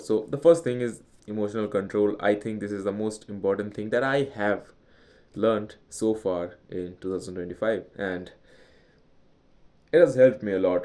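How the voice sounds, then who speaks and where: The man's voice is fairly low in pitch, with a dark, mellow tone. He speaks at a moderate pace with ordinary pitch variation. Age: young. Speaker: vlogger. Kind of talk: personal vlog monologue. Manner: hesitant, with restarts.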